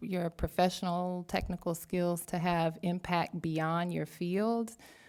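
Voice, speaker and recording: The recording is very clean, and the background is silent. In it, a woman talks with a Southern US accent. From US South. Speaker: academic researcher. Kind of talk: panel talk. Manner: slow.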